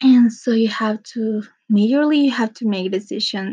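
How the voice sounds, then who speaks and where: A dark, mellow tone comes with a somewhat breathy quality in this voice. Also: woman. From Mexico. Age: 20s. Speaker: podcaster. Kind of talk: personal monologue. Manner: casual, rambling with fillers.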